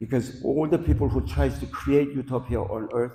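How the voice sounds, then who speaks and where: A man with a dark, mellow tone and vocal fry makes very wide pitch swings. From Korea (born in North Korea). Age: 80s+. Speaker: guest lecturer. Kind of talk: lecture.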